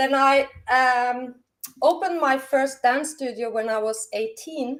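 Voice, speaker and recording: A woman with a Norwegian accent, high in pitch, at a fairly slow pace. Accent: Norwegian, non-native English. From Norway. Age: 50s. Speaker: dance teacher. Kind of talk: casual chat.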